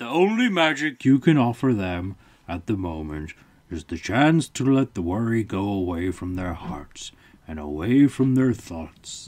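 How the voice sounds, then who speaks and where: Using a put-on character voice at a medium pitch, a man speaks at a moderate pace. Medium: read story. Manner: calm, measured.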